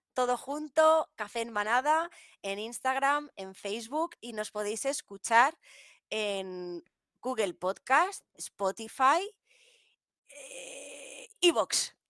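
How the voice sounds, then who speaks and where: Speaking very slowly, a woman with a high pitch uses lively intonation, her sound dry and close with no echo. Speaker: podcast co-host. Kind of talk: casual chat. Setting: live stream.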